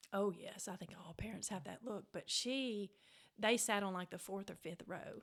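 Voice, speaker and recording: This woman speaks with a Mississippi accent at a moderate pace. Her pitch sits in the medium range with ordinary pitch variation. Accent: Southern US (Mississippi). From US South, Mississippi Delta. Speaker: author. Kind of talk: casual interview, storytelling. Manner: animated.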